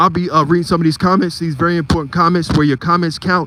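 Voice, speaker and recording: With an American accent, a man speaks at a high pitch over noticeable background noise. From Philadelphia, US. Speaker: live streamer and photography channel host. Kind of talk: live stream commentary. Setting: outdoors on a street at night.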